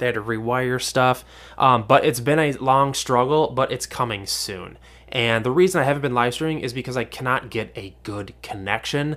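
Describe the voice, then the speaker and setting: A man's plain, everyday voice at a moderate pace on a very clean recording with a silent background. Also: medium pitch for a man, ordinary pitch variation. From Minnesota, US. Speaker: podcast host, fish keeper. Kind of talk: casual solo podcast monologue. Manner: informal, chatty.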